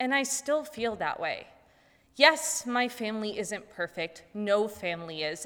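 A woman's plain, everyday voice, fairly high in pitch, with lively intonation at a fairly slow pace, on a very clean recording with a silent background. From Ohio, US. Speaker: college student. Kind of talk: personal story speech. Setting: stage with audience.

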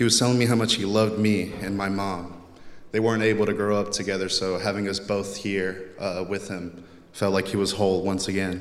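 A man with an American accent, fairly low pitch and monotone, flat intonation, at a fairly quick pace with audible room echo. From Texas, US. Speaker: college student. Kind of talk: speech. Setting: chapel with audience.

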